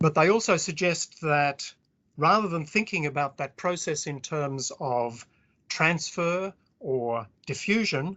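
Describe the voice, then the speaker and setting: A man speaks with an Australian accent at a fairly slow pace. His voice sits fairly high, with ordinary pitch variation. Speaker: historian. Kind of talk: academic lecture.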